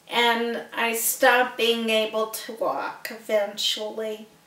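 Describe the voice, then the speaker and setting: Audible room echo follows a woman speaking at a fairly high pitch. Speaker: person with multiple sclerosis. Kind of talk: personal testimony and donation appeal. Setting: seated in a wheelchair. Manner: slurred speech.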